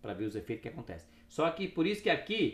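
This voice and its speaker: The man's voice has vocal fry as he rushes along at a very fast pace. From Brazil, Paraná (Cascavel). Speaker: neuroscientist and health product entrepreneur. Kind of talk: casual interview chat.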